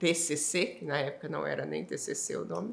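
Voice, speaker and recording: In a Minas Gerais accent, a woman speaks at a moderate pace in a bright, sharp tone, with audible room echo. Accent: Minas Gerais (mineiro). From Minas Gerais, Brazil (Ituiutaba). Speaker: energy industry association executive. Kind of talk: interview conversation.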